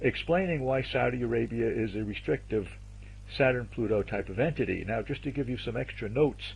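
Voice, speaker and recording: A man speaks at a fairly quick pace with an American accent. Audible room echo surrounds his voice. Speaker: astrologer presenting a video series. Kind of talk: lecture. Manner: fast.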